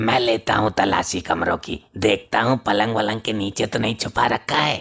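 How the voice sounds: Faint music plays behind a man who speaks at a moderate pace and a medium pitch in a cartoonish character voice.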